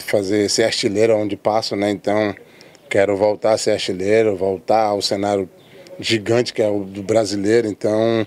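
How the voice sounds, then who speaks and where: This man's fairly low voice keeps a moderate pace. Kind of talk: interview answer. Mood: calm, soft-spoken, looking down. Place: stadium. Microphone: handheld.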